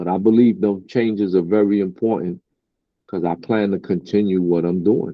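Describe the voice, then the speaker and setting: A man with a Brooklyn accent and fairly even intonation. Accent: New York (Brooklyn). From Brooklyn, New York. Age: 50s. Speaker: rapper. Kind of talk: interview.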